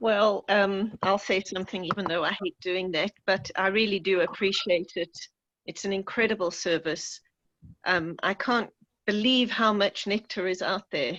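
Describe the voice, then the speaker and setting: Speaking in a South African accent, a woman talks at a fairly slow pace and medium pitch with ordinary pitch variation. The sound is dry and close, with no echo. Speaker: audience member on video call. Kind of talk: casual remarks in Q&A. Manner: halting, hesitant.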